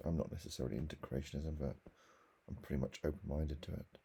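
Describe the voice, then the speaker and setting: Quiet and very deep in pitch, a man speaks with vocal fry and a dark, mellow tone, his intonation fairly even. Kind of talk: casual talk to camera.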